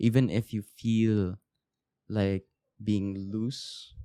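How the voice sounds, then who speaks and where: A man with a fairly low pitch speaks with a dry, close sound and no echo. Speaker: podcast host. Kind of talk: casual solo podcast monologue. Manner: halting, many fillers and restarts.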